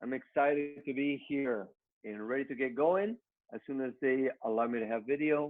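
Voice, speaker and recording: The speaker talks at a moderate pace with ordinary pitch variation. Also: man, medium pitch for a man. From Mexico. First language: Spanish. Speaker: network marketing trainer. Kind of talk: motivational business training.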